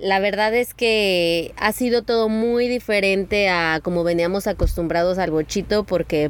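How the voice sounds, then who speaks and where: A woman with an unremarkable speaking voice talks at a fairly slow pace, at medium pitch with ordinary pitch variation. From Mexico, San Luis Potosí. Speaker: travel photographer and podcaster. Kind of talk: casual chat. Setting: outdoors by the sea in a camper van.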